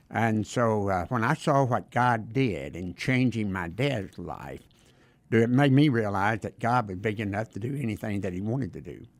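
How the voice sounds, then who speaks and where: Speaking at a moderate pace in a Southern US accent, a man uses a fairly low pitch and ordinary pitch variation, captured in a very clean recording with a silent background. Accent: Southern American. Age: 70s. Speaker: retired Baptist minister. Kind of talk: interview testimony. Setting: studio.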